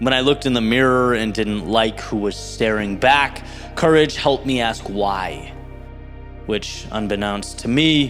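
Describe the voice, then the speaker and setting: Man at medium pitch with ordinary pitch variation, music in the background. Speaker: motivational speaker. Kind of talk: motivational spoken word speech.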